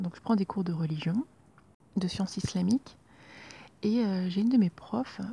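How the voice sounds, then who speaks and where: A woman speaks at a moderate pace in a medium pitch, somewhat breathy, with ordinary pitch variation and a dry, close sound with no echo. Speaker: personal podcaster. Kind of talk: personal diary-style monologue. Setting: at home, leaning out a roof window at night. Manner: hesitant, many fillers.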